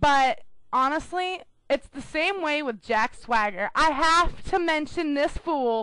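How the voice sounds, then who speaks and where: A woman's high, bright, sharp voice is raised and projected, moving at a very slow pace with very wide pitch swings. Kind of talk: casual radio show talk.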